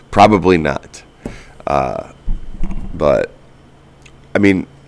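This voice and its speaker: Background noise is noticeable here. Over it, a man talks very slowly. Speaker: podcast host. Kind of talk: solo podcast monologue. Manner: casual, many filler words.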